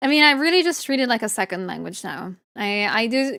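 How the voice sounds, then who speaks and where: A woman speaks in an Italian accent. The recording is very clean, with a silent background. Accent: Italian accent, noticeable. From Italy. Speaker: VTuber artist streamer. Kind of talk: casual chat. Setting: live stream.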